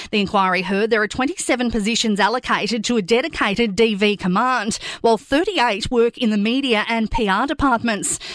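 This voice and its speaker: Speaking in an Australian accent at a moderate pace, a woman with a fairly high pitch keeps her loudness very even, uses ordinary pitch variation and hardly pauses at all. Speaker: news presenter. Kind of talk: news bulletin reading. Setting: studio. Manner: brisk, clear, even-toned.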